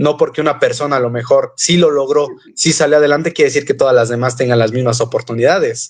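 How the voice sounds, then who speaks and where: The speech comes at a very fast pace, with fairly even intonation and very even loudness. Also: man, fairly high pitch for a man. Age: 20s. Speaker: entrepreneur, debater. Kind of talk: debate.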